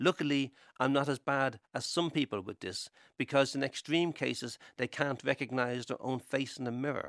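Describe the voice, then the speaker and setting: Dry and close with no echo, a very clean recording with a silent background captures a man speaking at a medium pitch and moderate pace with fairly even intonation. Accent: Irish. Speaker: writer. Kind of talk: scripted narration.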